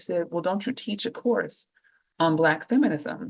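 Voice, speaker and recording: Speaking in an Oakland accent, a woman talks at a moderate pace with a fairly low pitch and lively intonation. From Oakland, California. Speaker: professor and author. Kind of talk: podcast interview. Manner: animated.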